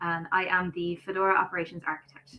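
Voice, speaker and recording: A woman speaks at a fairly quick pace with a slight Irish accent. Her pitch is fairly low. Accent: light Irish. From Ireland.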